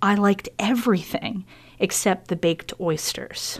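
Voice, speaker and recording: Her voice has a medium pitch with ordinary variation. The woman talks at a fairly slow pace with an American accent. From Pennsylvania. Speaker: chef and cooking school owner. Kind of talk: casual chat. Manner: animated.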